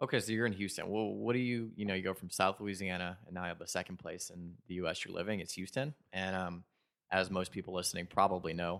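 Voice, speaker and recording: This man talks at a very fast pace in a very deep, low pitch with fairly even intonation. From New Orleans. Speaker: podcast host. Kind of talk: interview question.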